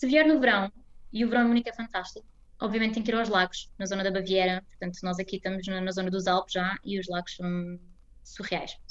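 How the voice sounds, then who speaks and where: Very fast speech from a woman at medium pitch with ordinary pitch variation. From Portugal, Almada. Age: 20s. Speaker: Portuguese expatriate interviewee. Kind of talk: interview.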